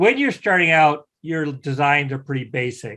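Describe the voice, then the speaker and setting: In a Midwestern US accent, a man speaks at a moderate pace with a fairly high pitch. His tone is bright and sharp against a quiet background. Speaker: CNC software instructor. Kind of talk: online class lecture.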